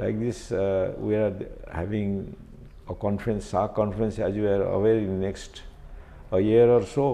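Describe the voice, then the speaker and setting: Speech at a fairly slow pace carries audible room echo. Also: man. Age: 70s. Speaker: retired media executive. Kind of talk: interview. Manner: hesitant, many fillers.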